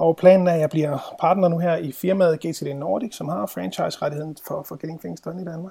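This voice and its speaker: The tone is dark and mellow. Delivery moves at a moderate pace. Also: man. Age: 30s. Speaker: productivity trainer. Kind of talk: interview.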